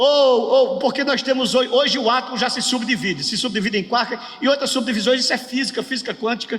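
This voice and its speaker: A man's extremely high-pitched voice at a very fast pace, with hardly any pauses, fairly even intonation and noticeable background noise. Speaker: pastor teaching a workshop. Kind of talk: lecture.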